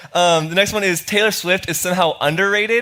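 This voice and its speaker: An animated tone comes through over noticeable background noise. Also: man. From Florida. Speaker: student pastor. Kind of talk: sermon. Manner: fast.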